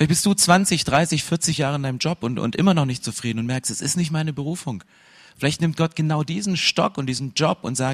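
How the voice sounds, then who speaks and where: Dry and close with no echo, a man's fairly high, somewhat breathy voice moves at a fairly quick pace. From Saxony, eastern Germany. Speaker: pastor. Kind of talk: sermon. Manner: energetic.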